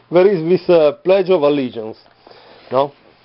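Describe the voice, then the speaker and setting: With an Italian accent, a man speaks at a fairly high pitch with lively intonation. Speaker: vlogger. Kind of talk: casual video monologue. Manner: halting, many fillers.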